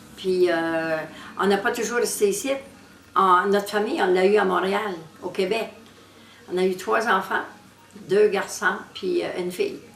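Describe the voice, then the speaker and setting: A woman's medium-pitched voice, fairly slow, with long, frequent pauses, fairly even intonation, noticeable background noise and audible room echo. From New Brunswick, Acadian Peninsula. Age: 70s. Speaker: retired homemaker. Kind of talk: casual interview.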